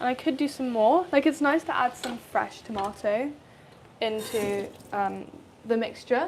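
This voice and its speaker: Speaking fairly slowly with a British accent, a woman uses a high voice and lively intonation. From England. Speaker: cooking content creator. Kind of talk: live cooking stream chat. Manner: casual, chatty.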